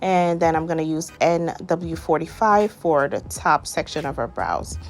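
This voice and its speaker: Over music in the background, a woman with a Guyanese accent speaks in an enthusiastic tone. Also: fairly slow pace. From Guyana. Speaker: makeup artist. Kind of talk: makeup tutorial voiceover. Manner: casual, enthusiastic.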